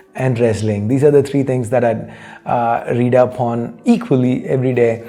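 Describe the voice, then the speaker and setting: Speech with an American accent at a moderate pace and fairly even intonation, with noticeable background noise and audible room echo. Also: man, medium pitch for a man. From India. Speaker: tech YouTuber answering viewer questions. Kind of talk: casual Q&A talk show. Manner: conversational with frequent fillers.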